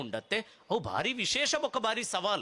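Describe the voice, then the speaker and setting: Using a raised, projected voice, a man speaks in a bright, sharp tone. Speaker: public speaker. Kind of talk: speech at a festival.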